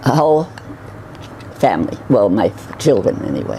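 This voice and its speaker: A woman with an American accent talks at a moderate pace. Noticeable background noise can be heard. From New York City (Bronx). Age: 90s. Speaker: retirement home resident, retired nurse. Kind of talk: personal life story interview. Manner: halting, with false starts.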